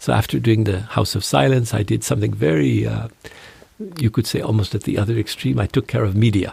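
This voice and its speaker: Amid noticeable background noise, a man with a fairly low pitch talks at a fairly quick pace with lively intonation. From Canada, northern Ontario. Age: 60s. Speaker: monk. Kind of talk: interview conversation. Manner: halting.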